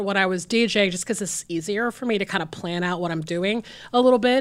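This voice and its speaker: Speaking with an American accent, the voice races along at a very fast pace. Its tone is animated, with ordinary pitch variation. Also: woman. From US South, Georgia. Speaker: film programmer. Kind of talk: casual chat.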